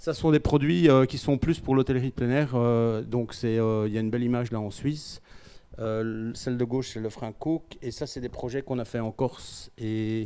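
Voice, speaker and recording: At a moderate pace, a man speaks with a dark, mellow tone, medium pitch and fairly even intonation. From Belgium. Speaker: company CEO. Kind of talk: conference talk. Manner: hesitant, many fillers.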